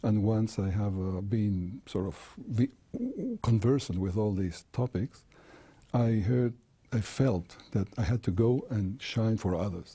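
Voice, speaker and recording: A dark, mellow, somewhat breathy voice speaks with a slight Chilean accent and fairly even intonation. The pace is fairly slow, with long, frequent pauses. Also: man, fairly low pitch for a man. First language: Spanish. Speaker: creation seminar speaker and engineer. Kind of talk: TV interview. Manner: halting, with repetitions and fillers.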